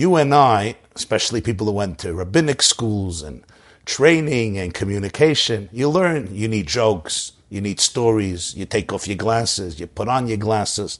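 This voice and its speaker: At a moderate pace, a man with an American accent speaks at a fairly low pitch with lively intonation. His loudness swings widely, and the background is quiet. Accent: New York Hasidic-inflected American English. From US Northeast, Brooklyn, New York. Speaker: rabbi and public speaker. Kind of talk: interview storytelling.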